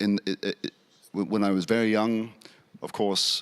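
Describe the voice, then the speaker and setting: A man speaks in a monotone, flat intonation at a fairly low pitch, with a British accent. The sound is dry and close, with no echo. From England. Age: 60s. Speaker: Anglican priest and academic. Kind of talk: panel discussion. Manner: halting, many fillers.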